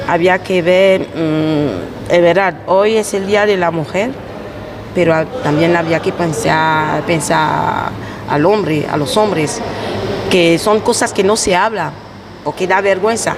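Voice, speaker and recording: A woman speaks at a very slow pace with a fairly low pitch and ordinary pitch variation. Noticeable background noise and audible room echo surround her. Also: very even loudness. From Ivory Coast. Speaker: immigrant worker and mother. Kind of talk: casual group interview. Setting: market, outdoors on location.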